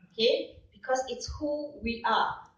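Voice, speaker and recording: A woman speaks with a Malaysian accent at a fairly slow pace. Room echo is audible. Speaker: professor. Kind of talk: conference presentation. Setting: stage with audience. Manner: animated.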